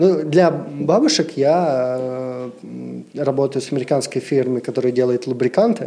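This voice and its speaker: Noticeable background noise sits behind a man's medium-pitched voice. He talks at a very slow pace with lively intonation. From Siberia, Russia. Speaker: brand ambassador and massage therapist. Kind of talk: casual chat.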